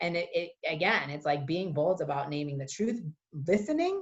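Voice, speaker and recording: A woman with an American accent has an ordinary speaking voice, fairly low in pitch with lively intonation. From US East Coast. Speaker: lawyer and transgender rights advocate. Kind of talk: interview.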